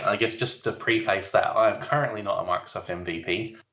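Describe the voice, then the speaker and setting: The speaker is a man with an Australian accent. He talks fairly quickly. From South Australia. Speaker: IT solutions architect. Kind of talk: podcast interview. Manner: casual, hesitant with fillers.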